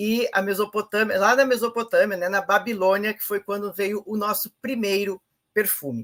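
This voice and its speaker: With dry, close sound and no echo, a woman of medium pitch speaks at a moderate pace with fairly even intonation. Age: 60s. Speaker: presenter of a sales network training. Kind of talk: informal online training talk. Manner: hesitant, many fillers.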